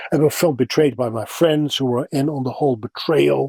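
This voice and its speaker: The voice has a Dutch accent and ordinary pitch variation at a moderate pace. The sound is dry and close, with no echo. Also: man. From Netherlands. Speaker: voice actor. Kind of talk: interview answer.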